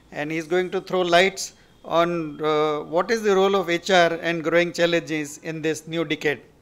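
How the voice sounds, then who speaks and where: Fairly even in intonation, a man talks at a high pitch. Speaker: event host introducing speaker. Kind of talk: formal speaker introduction. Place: hall. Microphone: podium.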